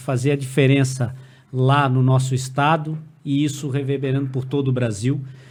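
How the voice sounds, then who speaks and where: A man talks at a fairly high pitch and a fairly slow pace. His voice is somewhat breathy. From Brazil, Santa Catarina (Blumenau). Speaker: police chief and state politician. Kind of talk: casual podcast conversation.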